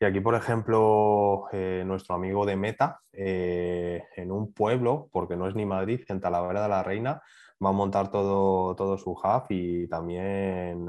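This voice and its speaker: With a very deep, low pitch, a man speaks at a fairly slow pace in fairly even intonation. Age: 30s. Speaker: training academy manager and media trader. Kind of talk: podcast interview.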